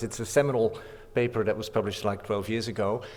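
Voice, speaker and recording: A man delivers his words very fast, his pitch sitting in the middle range. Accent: Dutch. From Netherlands. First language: Dutch. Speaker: professor. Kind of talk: conference talk. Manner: halting.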